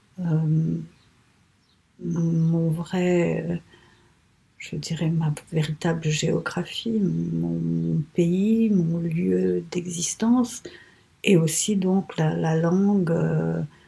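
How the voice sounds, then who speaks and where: A woman with a Telugu accent, very slow, with long, frequent pauses. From Mauritius. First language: Telugu (speaking French). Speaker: writer. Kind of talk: interview. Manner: halting, many hesitations.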